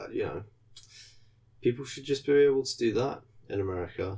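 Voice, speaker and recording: With a British accent, a man speaks at a moderate pace in a medium pitch, his tone dark, mellow and somewhat breathy. His pitch varies in an ordinary way, and he leaves long, frequent pauses. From UK. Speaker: podcast co-host. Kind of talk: casual chat.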